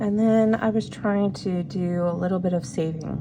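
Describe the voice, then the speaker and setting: Amid noticeable background noise, a woman with a fairly low pitch talks at a moderate pace. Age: 40s. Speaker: budgeting YouTuber, single mother. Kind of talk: casual talk to camera, budget planning. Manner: casual, chatty.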